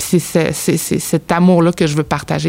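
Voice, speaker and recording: A woman speaks with a very deep, low pitch and monotone, flat intonation. There is noticeable background noise. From Abitibi-Témiscamingue, Quebec. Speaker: newcomer integration worker. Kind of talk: casual chat.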